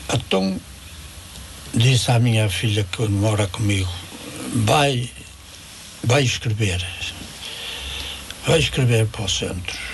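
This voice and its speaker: A man speaks at a very slow pace with long, frequent pauses against noticeable background noise. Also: medium pitch for a man, ordinary pitch variation. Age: 80s+. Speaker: elderly day centre user, widower. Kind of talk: radio interview.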